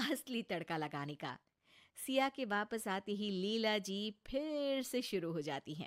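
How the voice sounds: Recorded very cleanly with a silent background and a dry, close sound with no echo, a woman speaks fairly slowly at a medium pitch with lively intonation.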